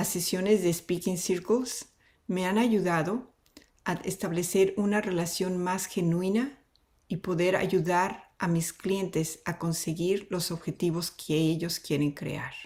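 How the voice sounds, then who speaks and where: A woman speaks at a moderate pace with a Spanish accent. Her pitch is medium and her intonation fairly even. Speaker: consultant. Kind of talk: testimonial.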